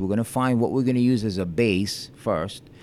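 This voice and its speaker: A man with an unremarkable speaking voice, medium pitch and ordinary pitch variation, on a very clean recording with a silent background. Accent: American. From Long Beach, New York. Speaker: juice bar co-owner. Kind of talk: casual interview chat.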